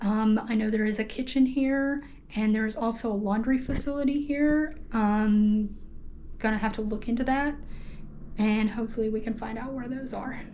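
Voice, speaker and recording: Audible room echo surrounds a woman with a somewhat breathy voice. She talks at a moderate pace with fairly even intonation. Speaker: travel vlogger. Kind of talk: casual hostel tour vlog. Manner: hesitant, many fillers; speaking quietly in bathroom.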